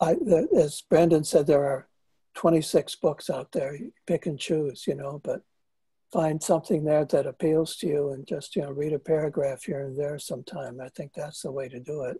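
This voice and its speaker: Quiet behind him and dry and close with no echo, a man's fairly high, dark, mellow voice sounds somewhat breathy, with fairly even intonation and big swings in loudness. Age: 70s. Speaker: author and psychotherapist. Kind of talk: interview. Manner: halting.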